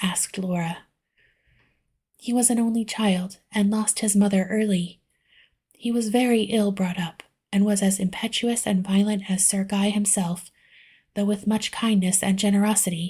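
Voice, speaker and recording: Soft-spoken and somewhat breathy, a woman of medium pitch talks in a dark, mellow tone with monotone, flat intonation and long, frequent pauses on a very clean recording with a silent background. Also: moderate pace. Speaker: audiobook reader. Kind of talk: book reading.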